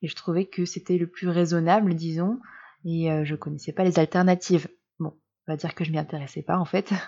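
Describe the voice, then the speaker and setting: Over a quiet background, a woman with a fairly low pitch and a dark, mellow tone talks at a fairly quick pace with fairly even intonation. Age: 30s. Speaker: blogger and podcaster on menstrual cycles. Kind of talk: personal monologue podcast.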